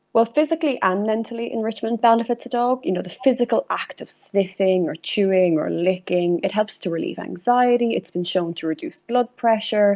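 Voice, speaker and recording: In an Irish accent, a woman with a fairly high pitch talks at a fairly quick pace with hardly any pauses. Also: lively intonation. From Ireland, County Meath. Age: 20s. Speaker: zoology student and dog enrichment enthusiast. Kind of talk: interview.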